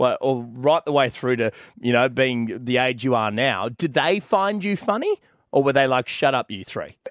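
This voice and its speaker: With a plain, everyday voice, a man speaks at medium pitch and a moderate pace with lively intonation, recorded very cleanly against a silent background in a dry, close sound with no echo. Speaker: podcast host. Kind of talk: casual banter. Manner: joking, playful.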